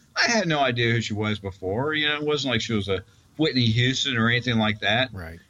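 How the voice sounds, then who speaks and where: Very fast speech from a man at medium pitch, with ordinary pitch variation and noticeable background noise. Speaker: citizen panel caller. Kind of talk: casual chat.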